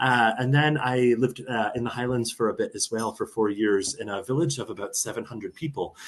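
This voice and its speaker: The man's voice sits at a medium pitch, and he talks fairly quickly. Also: fairly even intonation. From US, Arizona (born in Buffalo). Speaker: travel organization director, former teacher. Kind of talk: casual interview chat.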